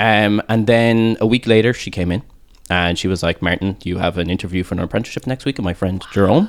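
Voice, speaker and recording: A man with a Cork accent talks at a very fast pace with a fairly low pitch. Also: ordinary pitch variation. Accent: Cork Irish. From Ireland, Cork. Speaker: tattoo artist. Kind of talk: casual chat.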